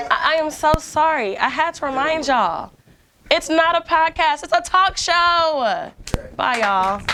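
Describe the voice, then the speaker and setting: Her voice is raised and projected, with an extremely high pitch and very wide pitch swings. The woman's tone is animated, and her pace is fairly slow. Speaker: talk show host. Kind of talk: casual chat.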